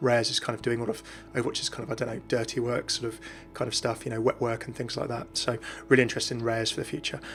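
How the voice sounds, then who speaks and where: A man speaks at a very fast pace with music in the background. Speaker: gaming YouTuber. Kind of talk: casual talk to camera. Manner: mellow.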